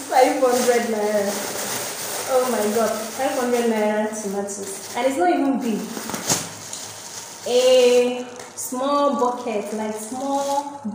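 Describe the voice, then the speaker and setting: A woman's very slow speech with long, frequent pauses and ordinary pitch variation, in strong room echo with noticeable background noise. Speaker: vlogger. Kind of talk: casual vlog chat. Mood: lively, exclaiming about prices. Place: home room. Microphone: phone near.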